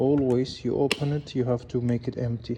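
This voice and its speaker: A man's somewhat breathy, dark and mellow voice at medium pitch, with a non-native accent, fairly even intonation, and a fairly slow pace. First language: not English. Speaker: car mechanic. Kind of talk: tutorial.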